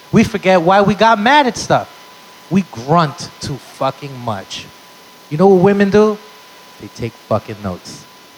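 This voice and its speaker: Over noticeable background noise, a high-pitched man speaks fairly slowly in an animated tone, with very wide pitch swings, big swings in loudness, and long, frequent pauses. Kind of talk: stand-up comedy set. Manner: animated, punchy storyteller with crowd-work asides; profane and excitable, exaggerated bits.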